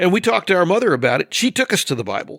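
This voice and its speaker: A man with an American accent, a bright, sharp tone and vocal fry, in a dry, close sound with no echo on a very clean recording with a silent background. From US West Coast (Northern California and Oregon). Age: 60s. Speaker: podcast guest. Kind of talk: casual podcast discussion.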